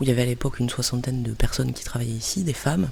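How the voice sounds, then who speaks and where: Noticeable background noise sits behind the speech. A woman talks with ordinary pitch variation. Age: 30s. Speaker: cultural mediator. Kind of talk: interview monologue. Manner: hesitant.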